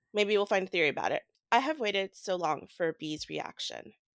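At a moderate pace, a woman with a medium pitch and vocal fry speaks with lively intonation in a dry, close sound with no echo. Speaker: book podcast co-host. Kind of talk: casual chat.

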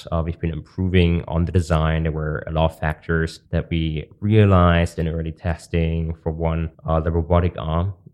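In a German accent, a man with a very deep, low pitch talks in a flat monotone with hardly any pauses. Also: moderate pace. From Germany. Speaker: podcast host and company founder. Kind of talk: casual interview.

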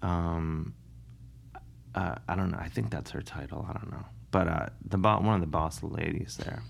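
A man with an American accent talks in a very deep, low voice with lively intonation. His pace is moderate, broken by long, frequent pauses. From US Midwest, Cleveland, Ohio. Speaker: comedian and musician. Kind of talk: casual interview.

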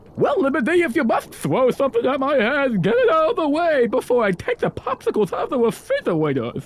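A man does a put-on character voice at an extremely high pitch and a very fast pace. Light background noise can be heard. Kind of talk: comic improv. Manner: cheerful, oblivious, teasing.

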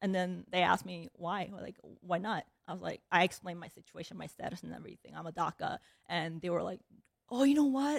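The speaker has a Korean accent, lively intonation and some vocal fry. Loudness swings a lot, and the sound is dry and close with no echo. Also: woman, medium pitch for a woman, fairly quick pace. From South Korea, moved to Chicago at ten. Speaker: managing partner at a private equity firm, army veteran. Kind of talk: interview.

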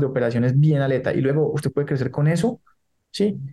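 A man's somewhat breathy, dark, mellow voice at a fairly high pitch, with fairly even intonation. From Colombia. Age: 30s. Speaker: entrepreneur. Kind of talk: interview. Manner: halting, many repetitions.

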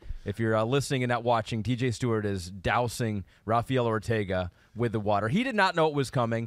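A man speaks at a fairly quick pace in a plain, everyday voice, medium in pitch with ordinary pitch variation. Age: 40s. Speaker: sports broadcaster and podcast host. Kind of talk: casual chat.

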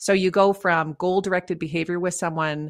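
This woman has a slight Canadian accent and a fairly low pitch. She talks at a moderate pace with ordinary pitch variation. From Canada. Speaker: leadership coach and author. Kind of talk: interview.

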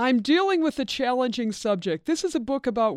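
A woman at a fairly quick pace with lively intonation against a quiet background, an ordinary speaking voice. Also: dry, close sound with no echo. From Pennsylvania. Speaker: photographer and author. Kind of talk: interview.

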